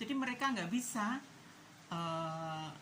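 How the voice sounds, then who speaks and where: Very wide pitch swings run through a woman's fairly slow speech. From East Java, Indonesia. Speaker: political commentary vlogger. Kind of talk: casual opinion monologue.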